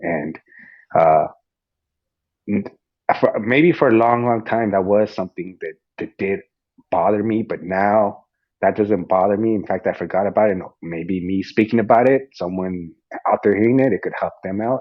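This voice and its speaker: A man speaks at a moderate pace with a fairly low pitch, ordinary pitch variation, and long, frequent pauses. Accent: Spanish. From US, Mexican-American family. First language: Spanish. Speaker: fitness coach and podcast host. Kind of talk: casual interview chat. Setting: online audio room. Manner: halting, repeats words.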